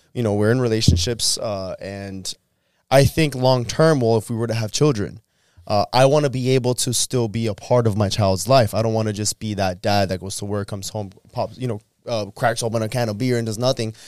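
In an ordinary speaking voice, a man talks at a fairly quick pace with a medium pitch and fairly even intonation. The sound is dry and close with no echo, on a very clean recording with a silent background. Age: 30s. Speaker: podcast host. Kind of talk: casual chat. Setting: studio.

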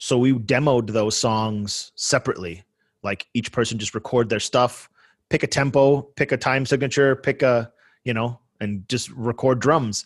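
Over a quiet background, a normal speaking voice with an American accent moves at a moderate pace with fairly even intonation, the sound dry and close with no echo. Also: man, medium pitch for a man. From Buffalo, New York, US. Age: 40s. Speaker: hardcore band musician. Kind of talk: casual interview chat.

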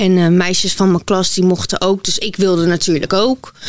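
A woman at a moderate pace, an ordinary speaking voice, medium in pitch. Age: 20s. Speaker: model and influencer. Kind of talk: interview testimony.

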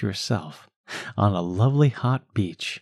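This is an unremarkable speaking voice with ordinary pitch variation. It moves at a fairly slow pace. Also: man, dry, close sound with no echo. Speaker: hypnotherapist. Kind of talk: guided hypnosis script for children. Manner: slow, soothing, calm; gentle, hypnotic, unhurried pacing.

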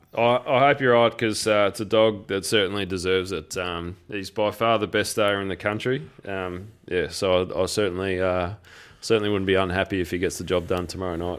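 With an Australian accent, a man speaks at a fairly low pitch and a fairly quick pace. His intonation is fairly even on a very clean recording with a silent background. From Geelong, Victoria, Australia. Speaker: greyhound racing podcast co-host. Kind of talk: casual chat.

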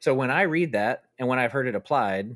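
The recording is very clean, its background silent. In it, a man talks at a fairly quick pace. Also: dry, close sound with no echo. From US South, Arkansas. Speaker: author. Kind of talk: interview. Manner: halting.

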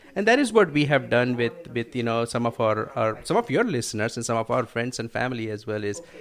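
This man talks at a very fast pace. His voice has a medium pitch. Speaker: financial educator. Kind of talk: radio interview.

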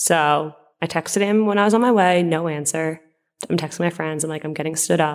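With a very deep, low pitch, a woman speaks at a fairly quick pace and with fairly even intonation. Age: 20s. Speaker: teacher. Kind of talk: interview testimony.

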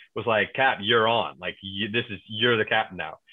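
An ordinary speaking voice from a man at a medium pitch, with ordinary pitch variation and a fairly quick pace. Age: 30s. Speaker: yacht crew member and reality TV cast member. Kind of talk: casual chat.

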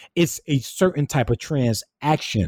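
Lively in intonation and fairly slow in pace, a man with a fairly high pitch speaks with a Southern US accent in a very clean recording with a silent background. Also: dry, close sound with no echo. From rural South Carolina. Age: 20s. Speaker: minister, writer and theology student. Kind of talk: interview. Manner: halting, many repetitions and fillers.

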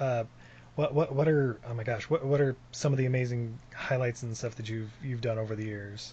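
A man with an American accent speaks in a somewhat breathy, medium-pitched voice. His pace is moderate and his intonation fairly even. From Utah, US. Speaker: podcast host. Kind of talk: interview.

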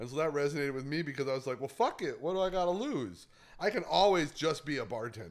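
Very fast speech with vocal fry and lively intonation. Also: man, fairly high pitch for a man. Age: 40s. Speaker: comedian. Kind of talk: casual chat.

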